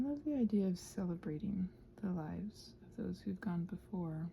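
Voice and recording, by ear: A woman with a dark, mellow tone, fairly low pitch and vocal fry speaks at a moderate pace with lively intonation.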